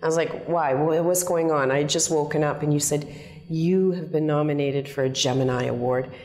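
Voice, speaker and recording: A woman's very deep, low voice at a fairly quick pace, with very even loudness and fairly even intonation. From Calgary, Alberta, Canada. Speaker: actress. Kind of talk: interview answer. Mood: warm, laughing, storytelling.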